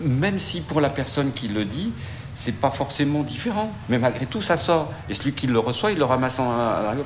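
With noticeable background noise behind him, a man talks at a moderate pace in a fairly high pitch with lively intonation. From Isère, France. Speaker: interviewee, son of repatriates. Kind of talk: testimony.

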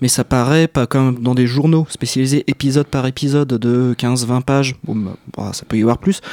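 The man's voice has a dark, mellow tone at a medium pitch, with fairly even intonation. He keeps a moderate pace, and the sound is dry and close with no echo. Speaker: manga fan guest. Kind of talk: casual chat.

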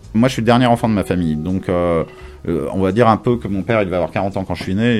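Over noticeable background noise, a man with a very deep, low voice talks at a very fast pace. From Paris, France. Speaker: radio host and DJ. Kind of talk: casual interview chat.

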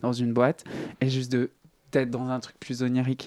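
At a moderate pace and medium pitch, a man talks in a normal speaking voice, the sound dry and close with no echo. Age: 30s. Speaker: singer. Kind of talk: interview. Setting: studio.

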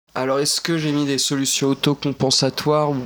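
A man's fairly high-pitched voice. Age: 20s. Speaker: visually impaired graduate. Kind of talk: personal testimony. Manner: casual, hesitant.

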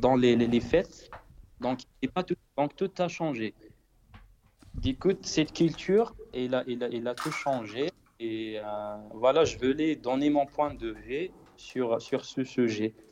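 A man of medium pitch talks at a very slow pace with ordinary pitch variation and long, frequent pauses. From Morocco, central High Atlas. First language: Berber (Tamazight) (speaking French). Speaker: singer-songwriter. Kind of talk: interview. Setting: Skype call. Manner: halting, many repetitions.

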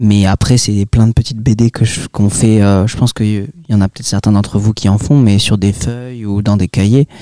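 A man speaks at a fairly low pitch with fairly even intonation and hardly any pauses. The pace is moderate, and the sound is dry and close with no echo. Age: young. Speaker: comic book author. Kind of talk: interview. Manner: hesitant, many filler sounds.

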